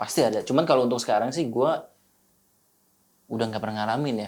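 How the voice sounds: Talking at a fast pace, a man uses a medium pitch and a slightly mellow tone. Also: ordinary pitch variation.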